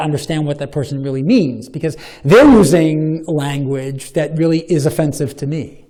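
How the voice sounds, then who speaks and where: Over noticeable background noise and audible room echo, a man with an American accent speaks at a moderate pace in a fairly high voice with ordinary pitch variation. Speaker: professor of religious studies. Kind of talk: Q&A after a lecture. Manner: halting, with many repetitions; long-winded.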